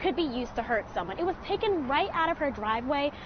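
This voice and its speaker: A woman's high-pitched voice at a fairly quick pace, with noticeable background noise. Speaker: TV news reporter. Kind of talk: TV news report.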